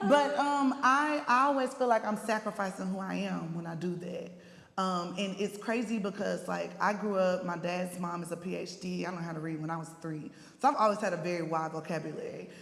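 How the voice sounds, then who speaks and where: Lively intonation and a fairly quick pace come through over noticeable background noise and audible room echo. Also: woman, medium pitch for a woman. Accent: strong East Texas. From East Texas. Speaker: panelist. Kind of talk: panel discussion.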